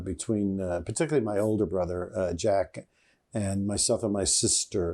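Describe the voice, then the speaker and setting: Very cleanly recorded against a silent background, a man talks in a New York accent. His tone is dark and mellow. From New York City, the Bronx. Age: 70s. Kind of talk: interview. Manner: halting, many fillers.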